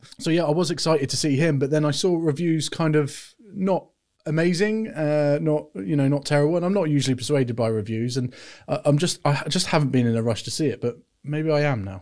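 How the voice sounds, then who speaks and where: In a British accent, a man speaks fairly quickly at a fairly high pitch with ordinary variation, on a very clean recording with a silent background. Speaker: film podcast co-host. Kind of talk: casual chat. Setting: studio.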